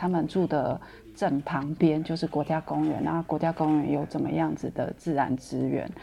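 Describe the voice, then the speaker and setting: A woman's very deep, low voice, monotone and flat, at a moderate pace. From Taiwan. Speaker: former ecology volunteer. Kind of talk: casual interview.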